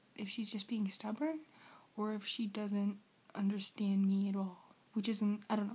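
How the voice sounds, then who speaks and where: Speaking with an American accent, a woman has a fairly high pitch and a dark, mellow tone. Her voice is somewhat breathy. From United States. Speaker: vlogger. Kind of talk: casual vlog. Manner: animated.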